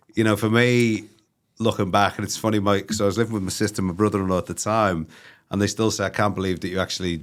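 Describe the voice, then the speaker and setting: Very fast speech from a man with a Liverpool accent, fairly low pitch and fairly even intonation, in a very clean recording over a silent background. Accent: Scouse. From northern England, Liverpool. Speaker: recruitment company CEO. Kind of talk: interview. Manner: halting, many fillers; casual.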